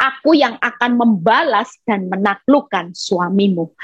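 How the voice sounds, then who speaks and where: A woman speaks in an animated, somewhat breathy tone with lively intonation. The sound is dry and close with no echo. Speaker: evangelist preacher. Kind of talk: sermon.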